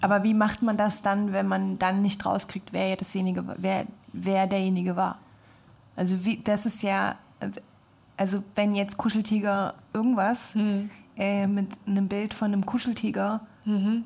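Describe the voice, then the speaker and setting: A somewhat breathy, fairly slow voice with very even loudness, monotone flat intonation, and long, frequent pauses. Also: woman, medium pitch for a woman. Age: 20s. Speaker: design student. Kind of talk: casual chat. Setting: studio.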